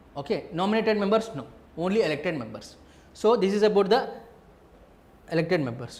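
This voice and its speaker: With lively intonation and a fairly quick pace, a man talks in a high-pitched voice, with audible room echo around him. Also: long, frequent pauses. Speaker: teacher. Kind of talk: lecture. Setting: live online class.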